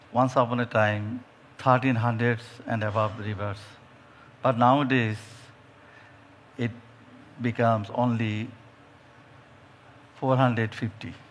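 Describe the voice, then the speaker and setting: A man with a Bengali accent talks at a fairly slow pace and medium pitch, with monotone, flat intonation and long, frequent pauses. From Bangladesh. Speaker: judge. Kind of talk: panel discussion. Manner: halting.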